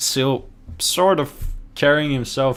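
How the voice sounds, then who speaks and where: This man speaks with a Norwegian accent. His accent is clearly Norwegian. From Norway. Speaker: esports commentator. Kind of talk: live commentary. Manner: energetic.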